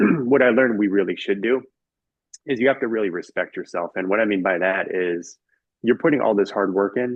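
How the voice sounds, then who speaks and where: A man with an American accent and a normal speaking voice talks at a fairly quick pace with ordinary pitch variation. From California, San Francisco Bay Area. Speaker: author and finance guest. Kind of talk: podcast interview.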